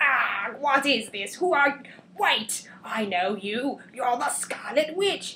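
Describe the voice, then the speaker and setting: A female-sounding voice puts on a character voice, high-pitched for a woman and delivered at a very slow pace. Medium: read story. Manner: theatrical, monologuing.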